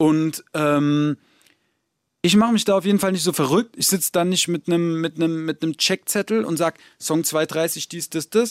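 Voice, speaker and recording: On a very clean recording with a silent background and a dry, close sound with no echo, a man speaks at a high pitch and a moderate pace with ordinary pitch variation. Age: 30s. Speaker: rapper. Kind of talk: interview. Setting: studio.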